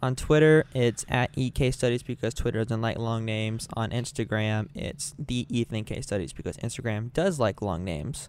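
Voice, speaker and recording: An ordinary speaking voice at a moderate pace, with hardly any pauses and ordinary pitch variation. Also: man, medium pitch for a man. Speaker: podcast co-host. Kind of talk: casual chat.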